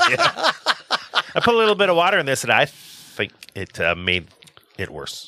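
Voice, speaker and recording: A man in a playful tone at a moderate pace, with long, frequent pauses. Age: 40s. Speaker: podcast co-host. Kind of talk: casual chat.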